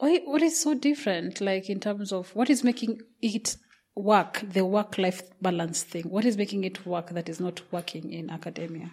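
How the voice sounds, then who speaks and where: Speaking at a medium pitch with a Kenyan accent, a woman sounds somewhat breathy and uses lively intonation. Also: moderate pace. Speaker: podcast host. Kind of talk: casual interview.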